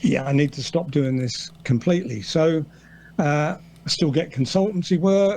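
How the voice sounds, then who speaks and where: A man speaks with an English accent. His fairly high-pitched voice has a dark, mellow tone. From England. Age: 60s. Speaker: farrier. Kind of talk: podcast interview. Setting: video call.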